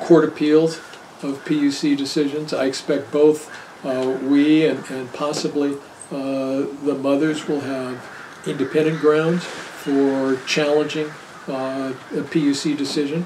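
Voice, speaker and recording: Over noticeable background noise and audible room echo, a man speaks at a fairly slow pace in a flat monotone at a fairly high pitch. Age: 70s. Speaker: attorney presenting year review. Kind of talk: talk with audience Q&A. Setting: party with live audience.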